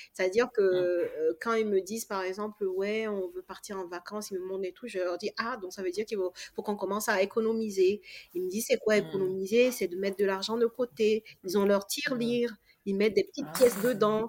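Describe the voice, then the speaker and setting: This woman has a plain, everyday voice at medium pitch, speaking at a fairly quick pace with fairly even intonation, recorded dry and close with no echo. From Togo. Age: 30s. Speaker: real estate investor and coach. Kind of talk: casual interview.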